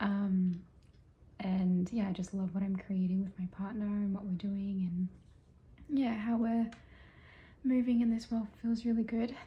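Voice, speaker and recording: A quiet, somewhat breathy woman with an Australian accent, medium-pitched, dark and mellow in tone, at a fairly slow pace with fairly even intonation. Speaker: vlogger. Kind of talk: casual vlog monologue.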